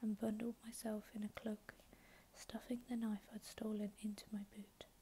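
A soft-spoken woman at a moderate pace, monotone and flat in intonation, with light background noise. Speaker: ASMR YouTuber reading audiobook-style. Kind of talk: ASMR sleep reading of a novel. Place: home room.

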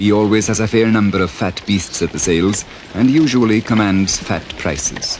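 With noticeable background noise behind him, a man speaks at a fairly low pitch with ordinary pitch variation. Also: moderate pace. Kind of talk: documentary narration.

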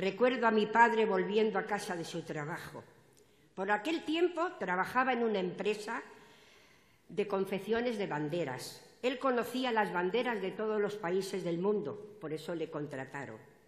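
A woman speaks at a moderate pace. There is audible room echo. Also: lively intonation. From Spain. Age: 80s+. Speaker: party activist, opening speaker at political rally; speaker. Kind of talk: political rally speech. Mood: emotional, earnest. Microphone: podium.

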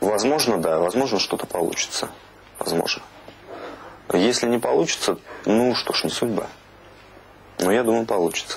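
A man speaks at a moderate pace with long, frequent pauses. His loudness stays very even, with ordinary pitch variation. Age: 20s. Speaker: reality show contestant. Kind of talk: casual chat. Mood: earnest, slightly aggrieved.

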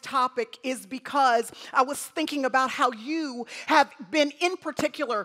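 A raised, projected voice with a bright, sharp tone moves at a moderate pace with fairly even intonation. The background is quiet. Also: woman. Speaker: guest preacher. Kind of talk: sermon. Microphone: headset.

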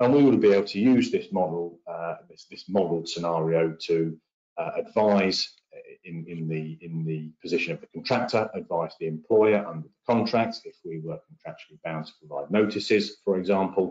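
A man's low voice with a slightly husky edge and ordinary pitch variation. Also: moderate pace.

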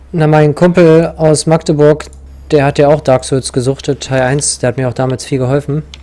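Intonation stays fairly even at a moderate pace. Noticeable background noise is present. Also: man, fairly high pitch for a man. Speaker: video game player. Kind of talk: casual chat while gaming co-op. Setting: online voice chat while playing.

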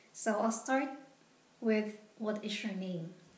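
A woman talks at a fairly slow pace with a fairly high pitch. Her pitch varies in an ordinary way, and audible room echo surrounds her voice. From Philippines. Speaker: vlogger. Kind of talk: tutorial. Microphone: phone near.

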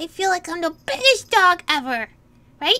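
The voice is a cartoonish character act. Its pace is moderate. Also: woman.

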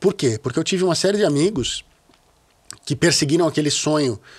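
A man speaks at a very fast pace in a fairly high pitch. The background is quiet. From Brazil, São Paulo (childhood partly in Rio). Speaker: bass player; podcast guest. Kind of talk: casual interview conversation. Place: studio. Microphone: studio mic.

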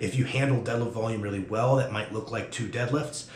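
Over light background noise and audible room echo, a man speaks with fairly even intonation. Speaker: strength coach. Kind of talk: instructional talk to camera. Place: gym.

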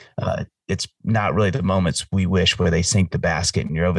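Very deep, low pitch from a man, with ordinary pitch variation. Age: 40s. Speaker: singer-songwriter. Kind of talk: casual chat.

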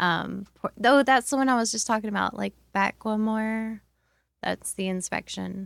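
With an unremarkable speaking voice, a woman talks at a moderate pace and fairly high pitch, the recording very clean with a silent background and a dry, close sound with no echo. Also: fairly even intonation. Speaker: arts event organizer. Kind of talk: casual chat. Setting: studio.

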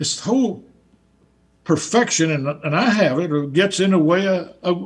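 A man with a Southern US accent, high-pitched, at a moderate pace with lively intonation.

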